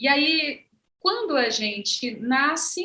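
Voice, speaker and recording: A woman speaks in a raised, projected voice with a high pitch and a bright, sharp tone. Her pitch swings very widely. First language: Ze'eng eté (Guajajara) (speaking Portuguese). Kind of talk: panel conversation.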